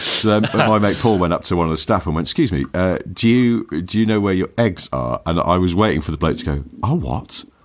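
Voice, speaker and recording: Over noticeable background noise, a man with a very deep, low voice speaks in an English accent with lively intonation. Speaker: podcast co-host. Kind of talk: casual chat.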